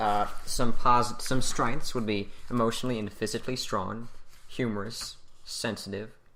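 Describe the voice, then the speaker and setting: A man speaks at a moderate pace in a medium pitch, his tone bright and sharp. His intonation is monotone and flat, and there is audible room echo. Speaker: podcast co-host. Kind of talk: casual discussion show. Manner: halting, stuttering.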